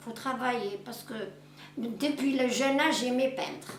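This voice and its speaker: Noticeable background noise and audible room echo surround the voice of a woman. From western Algeria. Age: 70s. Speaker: painter. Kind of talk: interview. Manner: halting.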